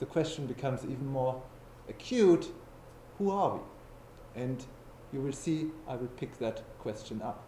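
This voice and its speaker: A man with a German accent and medium pitch speaks at a fairly slow pace, with long, frequent pauses. His pitch variation is ordinary, and audible room echo surrounds him. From Germany. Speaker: philosopher. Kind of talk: lecture.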